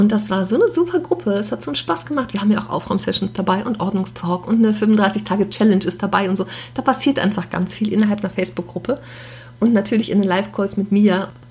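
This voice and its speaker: A woman races along at a very fast pace with lively intonation over noticeable background noise. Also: medium pitch for a woman. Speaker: podcast host, professional organizer. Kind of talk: casual solo monologue. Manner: unscripted, chatty.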